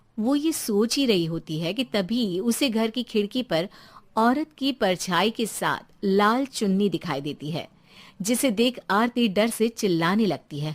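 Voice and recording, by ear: A woman speaks at a medium pitch with lively intonation. Her pace is fairly slow.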